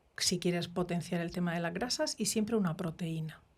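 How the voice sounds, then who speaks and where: Her voice has a dark, mellow tone. The woman speaks fairly low, with ordinary pitch variation. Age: 60s. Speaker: microbiota expert doctor. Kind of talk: interview. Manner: halting.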